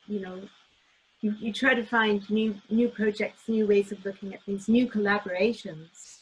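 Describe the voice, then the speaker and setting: The somewhat breathy voice moves at a moderate pace with monotone, flat intonation and big swings in loudness. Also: woman, medium pitch for a woman. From Canada. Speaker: cellist and teacher. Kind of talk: interview. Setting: video call.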